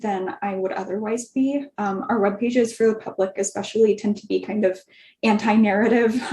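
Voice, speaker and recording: A woman's somewhat breathy, fairly high-pitched voice with a dark, mellow tone. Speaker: career panelist, public health writer. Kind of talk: virtual panel discussion. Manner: wordy, many filler ums.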